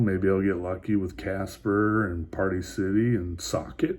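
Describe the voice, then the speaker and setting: This man speaks quietly. His voice is somewhat breathy. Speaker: vlogger talking stocks and crypto. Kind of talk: casual vlog monologue. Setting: motel room at night. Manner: hushed, keeping quiet; halting, many fillers and repeats.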